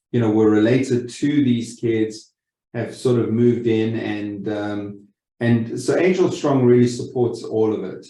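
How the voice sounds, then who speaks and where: In a South African accent, a man speaks at a fairly slow pace with a medium pitch and a dark, mellow tone. Room echo is audible. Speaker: lending company executive. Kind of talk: webinar presentation. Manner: halting, many repeated words.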